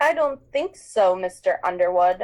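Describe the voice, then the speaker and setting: A female-sounding put-on character voice with a medium pitch moves along at a moderate pace. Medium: read story. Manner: cold, clipped, menacing.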